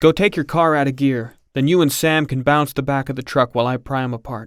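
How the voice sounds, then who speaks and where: A man puts on a husky character voice at a medium pitch. He delivers it at a fairly quick pace. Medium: read story. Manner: abrupt, folksy.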